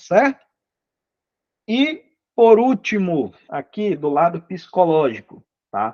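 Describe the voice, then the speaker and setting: A man with a high pitch talks at a very slow pace, with long, frequent pauses and very wide pitch swings and big swings in loudness. The sound is dry and close, with no echo. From Manaus, Brazil. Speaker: English teacher. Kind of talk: online lecture (live class). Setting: live video class.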